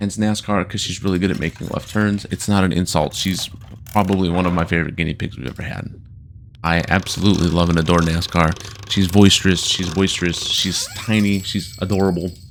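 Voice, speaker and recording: This man has a very deep, low pitch and fairly even intonation. He talks at a fairly quick pace against noticeable background noise. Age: 30s. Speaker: gaming YouTuber. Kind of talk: casual let's play commentary. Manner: casual, rambling.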